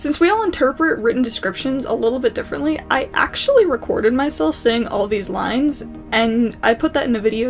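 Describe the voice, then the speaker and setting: With music in the background, a woman speaks at a fairly high pitch with ordinary pitch variation. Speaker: student animator; college student. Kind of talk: casual talk to camera.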